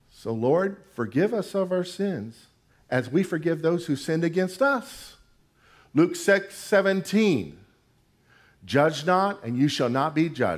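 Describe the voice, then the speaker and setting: A man talks in an animated tone with very wide pitch swings. The recording is very clean, with a silent background. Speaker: preacher. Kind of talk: sermon. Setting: church with congregation. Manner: animated, emphatic pulpit delivery with call-and-response; colloquial and humorous.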